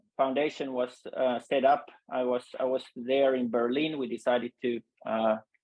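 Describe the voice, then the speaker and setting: In a Finnish accent, a man speaks at a fairly slow pace with medium pitch and monotone, flat intonation. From Finland. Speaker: UX designer, foundation member. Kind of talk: webinar panel discussion. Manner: halting, many fillers.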